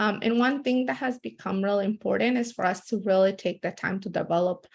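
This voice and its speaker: Somewhat breathy, a woman talks at a fairly quick pace with a Spanish accent. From born in El Salvador, raised in US from about age 12. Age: young. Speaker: community organizer. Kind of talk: webinar presentation. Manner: many fillers, some halting.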